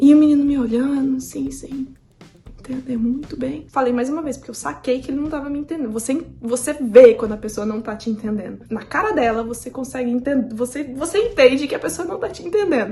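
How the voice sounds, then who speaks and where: A high-pitched woman with a Brazilian accent at a fairly quick pace, over noticeable background noise. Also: ordinary pitch variation. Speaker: youtuber, au pair. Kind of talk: casual vlog monologue.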